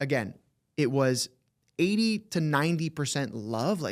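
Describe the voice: In a very clean recording with a silent background, a man talks at a fairly slow pace with a fairly high pitch and big pitch swings.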